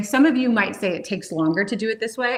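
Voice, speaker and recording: Fairly quick female speech against noticeable background noise. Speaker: cooking show host. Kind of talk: live cooking demonstration. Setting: kitchen livestream. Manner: fast; animated.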